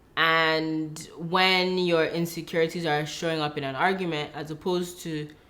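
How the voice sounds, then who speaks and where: A woman at a moderate pace, with a very deep, low pitch and audible room echo. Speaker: relationship vlogger, wife. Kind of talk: casual chat.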